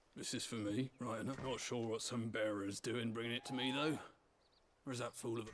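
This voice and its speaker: Raspy, put-on character voice at a fairly quick pace with monotone, flat intonation. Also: man, medium pitch for a man. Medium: video game. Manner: gruff, wry.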